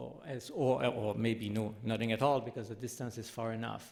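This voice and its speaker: A man with a Quebec accent speaks at medium pitch and a moderate pace. Audible room echo surrounds his voice. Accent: French Canadian accent in English. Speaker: professor. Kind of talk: lecture. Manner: halting.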